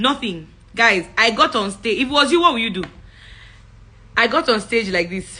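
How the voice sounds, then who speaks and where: A woman's animated, fairly high voice with a bright, sharp tone, very wide pitch swings, a moderate pace and long, frequent pauses. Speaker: public speaking coach. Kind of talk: live-stream talk. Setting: livestream.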